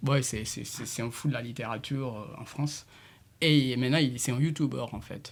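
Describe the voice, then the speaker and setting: Vocal fry runs through speech at a moderate pace, with fairly even intonation and big swings in loudness. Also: man, medium pitch for a man. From Senegal, Casamance. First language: Diola (speaking French). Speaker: multidisciplinary artist and musician. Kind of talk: radio interview. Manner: halting, with many repetitions.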